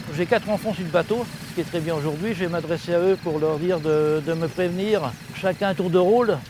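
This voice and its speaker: A man talks at a fairly quick pace in a high-pitched voice. His pitch variation is ordinary, and background noise is noticeable. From France, Touraine (Véretz). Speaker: boat captain and river guide. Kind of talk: guided tour. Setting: outdoors on a boat on the river.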